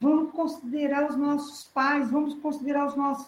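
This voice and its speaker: A woman's high voice at a moderate pace. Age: 50s. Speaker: church preacher. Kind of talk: sermon. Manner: halting.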